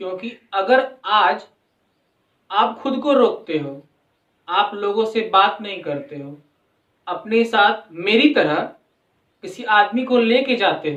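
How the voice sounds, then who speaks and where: A man with a high pitch speaks very slowly, with long, frequent pauses. His intonation is lively and his loudness swings widely. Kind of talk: casual talk to camera.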